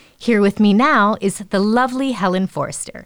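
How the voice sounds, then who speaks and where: A woman's medium-pitched, normal speaking voice at a moderate pace. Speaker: podcast host. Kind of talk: interview intro and questions.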